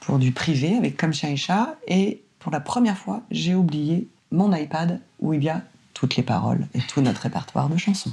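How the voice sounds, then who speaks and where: A woman's very deep, low voice at a moderate pace, with very wide pitch swings. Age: 40s. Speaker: singer and voice actor. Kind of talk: interview conversation. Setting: at home, seated in bedroom. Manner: energetic, extroverted.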